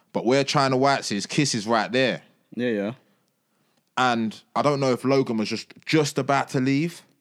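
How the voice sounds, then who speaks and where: A man with a London accent and fairly even intonation. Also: medium pitch for a man, moderate pace. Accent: London Multicultural English. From East London, Tower Hamlets. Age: 20s. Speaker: musician. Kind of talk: casual chat.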